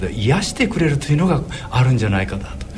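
Over music in the background, the speaker talks at a fairly quick pace with very wide pitch swings, and room echo is audible. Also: man. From Shimane, Izumo area. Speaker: dentist and horse racing commentator. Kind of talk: radio interview.

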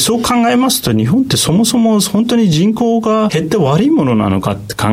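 A man talks at a fairly quick pace with hardly any pauses and very even loudness. Audible room echo and noticeable background noise surround his voice. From Turkey. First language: Turkish (speaking Japanese). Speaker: economist and market analyst. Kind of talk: radio interview.

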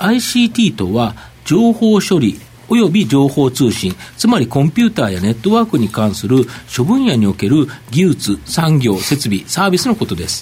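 A man talks at a moderate pace in a fairly high pitch, swinging very widely up and down. Noticeable background noise runs under his voice. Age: 50s. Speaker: market analyst and segment host. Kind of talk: live broadcast interview.

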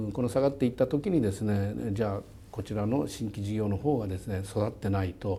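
This man has an unremarkable speaking voice, fairly low in pitch, moving at a fairly quick pace. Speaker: company chairman and CEO. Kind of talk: interview.

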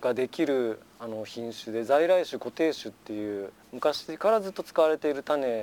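In a normal speaking voice at medium pitch, a man talks at a moderate pace with lively intonation, big swings in loudness and hardly any pauses, on a very clean recording with a silent background. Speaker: farmer. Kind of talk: casual interview. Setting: outdoors on a wooden deck.

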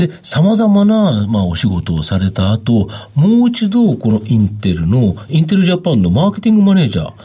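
A man speaks at a moderate pace in a medium-pitched, somewhat breathy voice with a dark, mellow tone, very wide pitch swings, and hardly any pauses. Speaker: stock market analyst. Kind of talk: radio interview. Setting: studio.

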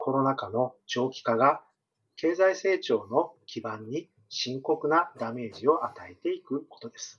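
A man with a normal speaking voice talks at a fairly slow pace and a fairly high pitch. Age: 40s. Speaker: economist. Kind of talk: interview. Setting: remote call. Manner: formal.

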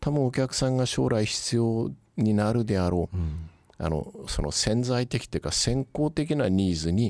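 With a plain, everyday voice, a man speaks at a moderate pace, his medium pitch carried by lively intonation. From Kyushu, Yakushima and Kagoshima. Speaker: company chairman. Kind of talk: interview. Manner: polite, measured.

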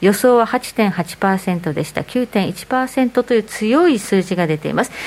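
A woman with a plain, everyday voice speaks fairly slowly at a fairly high pitch with lively intonation. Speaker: radio show presenter. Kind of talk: radio talk show. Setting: studio.

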